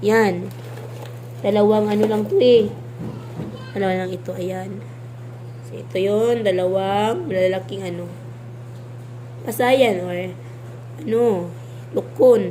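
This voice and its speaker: A woman speaks at a fairly slow pace with long, frequent pauses, and audible room echo surrounds her voice. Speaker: vlogger. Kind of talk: casual vlog showing food. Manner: halting, many fillers.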